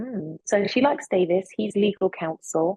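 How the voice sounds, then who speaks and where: Somewhat breathy, a woman talks at a fairly slow pace with lively intonation. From London, England (British Nigerian). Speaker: actress. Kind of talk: interview.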